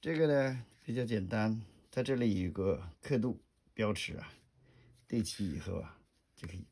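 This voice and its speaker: Soft-spoken and dark, mellow in tone, a man speaks at a fairly slow pace with lively intonation and long, frequent pauses. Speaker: gun hobbyist vlogger. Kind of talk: tutorial.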